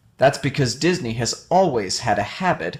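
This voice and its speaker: A man speaks in a normal speaking voice with lively intonation. The recording is very clean, with a silent background. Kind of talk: video essay narration.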